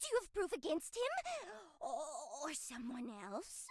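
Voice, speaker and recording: In a put-on character voice, a female-sounding speaker talks at a moderate pace, pitched extremely high with very wide pitch swings. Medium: video game. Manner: silky, teasing.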